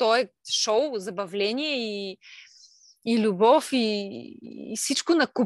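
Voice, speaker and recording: At a very slow pace, a woman speaks with a fairly high pitch and ordinary pitch variation. The sound is dry and close with no echo, over a quiet background. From Bulgaria, Silistra region. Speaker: stay-at-home mother and craft maker. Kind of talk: casual interview.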